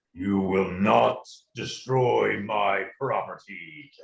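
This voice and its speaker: A man's put-on character voice, fairly low-pitched with lively intonation, at a very slow pace. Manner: menacing, commanding.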